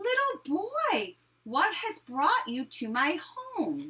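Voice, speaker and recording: A woman does a squeaky put-on character voice at an extremely high pitch. She speaks very slowly with very wide pitch swings. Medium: read story. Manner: warm, gentle.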